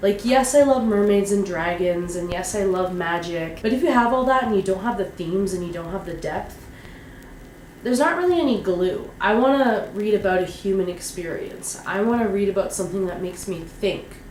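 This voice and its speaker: The speaker moves at a fairly quick pace with ordinary pitch variation. Noticeable background noise runs underneath. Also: woman, medium pitch for a woman. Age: 30s. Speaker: fantasy author and vlogger. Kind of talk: casual vlog monologue. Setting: home vlog to camera. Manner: off the cuff.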